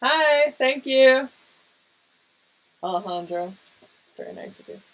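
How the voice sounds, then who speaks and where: A soft-spoken woman talks at a fairly slow pace in a high voice that rises and falls very widely. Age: 30s. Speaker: cartoonist and artist livestreamer. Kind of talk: casual livestream chat while painting. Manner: hesitant, many fillers.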